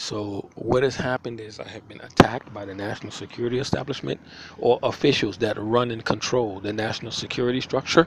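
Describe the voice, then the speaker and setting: A man with a New York accent talks at a very fast pace over noticeable background noise. His loudness swings a lot while his pitch varies in an ordinary way. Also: medium pitch for a man. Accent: New York City English. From New York City (Manhattan, South Bronx). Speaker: homeless vlogger. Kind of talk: personal video diary. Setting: outdoors. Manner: halting, repetitive.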